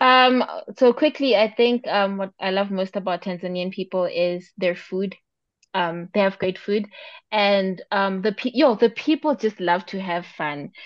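A woman with a normal speaking voice, medium in pitch, at a fairly slow pace with ordinary pitch variation. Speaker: podcast co-host. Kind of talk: casual chat.

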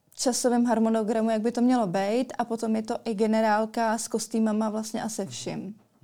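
Dark, mellow tone in monotone, flat intonation, fairly quick with hardly any pauses, in a very clean recording with a silent background. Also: woman, fairly high pitch for a woman. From Czech Republic, Central Bohemia. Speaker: beauty queen and model. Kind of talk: interview. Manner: hesitant, many fillers.

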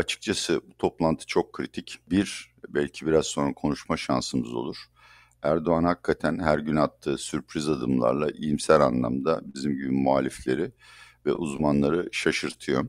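In a dry, close recording with no echo, a man with a very deep, low voice and vocal fry speaks at a moderate pace with fairly even intonation. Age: 60s. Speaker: economist. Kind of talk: interview.

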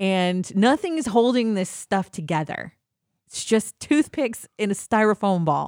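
Woman with an American accent, medium pitch, an animated tone and lively intonation at a fairly slow pace, dry, close sound with no echo and a very clean recording with a silent background. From US Midwest. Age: 40s. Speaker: podcast co-host. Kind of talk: casual chat.

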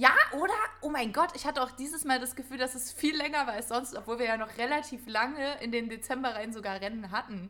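A woman speaks fairly quickly in a high pitch, her voice raised and projected. Her tone is bright and sharp. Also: ordinary pitch variation. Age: 20s. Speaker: podcast co-host, actress. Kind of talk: casual chat.

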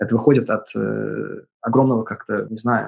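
A man talks at a moderate pace. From California, US. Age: 30s. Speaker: composer. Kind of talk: interview. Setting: remote call. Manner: halting.

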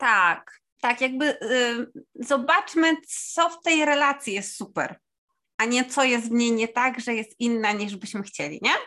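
Using a high pitch and a bright, sharp tone, a woman speaks at a fairly slow pace with lively intonation and big swings in loudness. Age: 30s. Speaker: dog podcast co-host, works with dogs. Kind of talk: casual chat.

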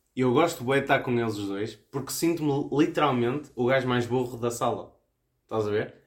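Speaking in a medium pitch, a man keeps a fairly quick pace and uses ordinary pitch variation. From Viana do Castelo, northern Portugal. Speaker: podcast co-host. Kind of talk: casual chat. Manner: halting.

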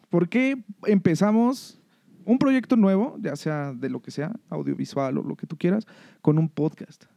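A man with a Mexican accent, a high pitch, and a dark, mellow tone, with very wide pitch swings, big swings in loudness, a fairly slow pace, and a dry, close sound with no echo. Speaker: podcast co-host. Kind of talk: casual chat.

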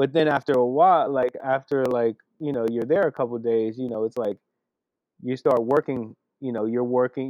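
Using fairly even intonation, a man with a medium-pitched voice and an American accent speaks at a fairly quick pace. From California. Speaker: graffiti artist. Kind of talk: casual interview. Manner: halting, many fillers.

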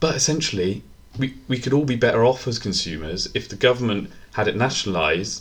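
A man's medium-pitched voice with a British accent, very fast and with lively intonation. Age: 20s. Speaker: podcast co-host. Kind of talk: casual chat.

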